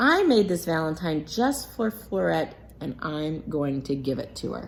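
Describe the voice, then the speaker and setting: A put-on character voice comes through over clear background noise. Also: woman, very deep, low pitch for a woman, moderate pace. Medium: read story. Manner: boastful.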